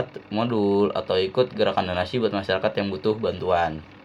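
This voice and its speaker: The speaker talks in a Jakarta accent with ordinary pitch variation. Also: man. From Jakarta, Indonesia. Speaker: university student. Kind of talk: student presentation. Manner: casual; halting.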